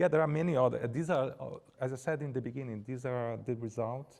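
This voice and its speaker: The speaker has a Brazilian Portuguese accent. The pace is fairly quick. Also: man. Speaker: art curator. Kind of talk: Q&A after lecture. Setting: lecture hall, also streamed on Zoom. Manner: halting, with false starts.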